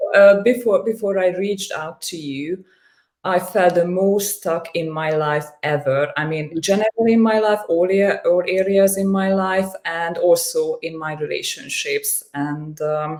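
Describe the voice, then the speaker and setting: Speaking in a Hungarian accent, a woman uses a medium pitch. Her pace is fairly slow, with ordinary pitch variation. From Hungary. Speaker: coaching client. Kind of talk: interview testimony. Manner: halting, frequent repetitions and fillers.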